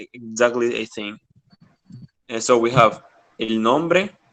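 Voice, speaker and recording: Very slow male speech with a dry, close sound and no echo. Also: long, frequent pauses. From Latin America. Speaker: Spanish teacher. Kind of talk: language lesson. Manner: halting, many fillers.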